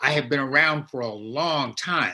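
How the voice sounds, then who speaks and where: This man's bright, sharp voice sits at a fairly high pitch with ordinary pitch variation. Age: 70s. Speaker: minister and AIDS researcher. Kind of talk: panel talk. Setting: video call. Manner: formal.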